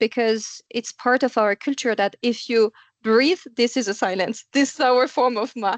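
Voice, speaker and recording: In a French accent, a woman talks at a moderate pace with a high pitch. Her pitch varies in an ordinary way, and the sound is dry and close with no echo. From France. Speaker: podcast host. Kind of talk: interview conversation.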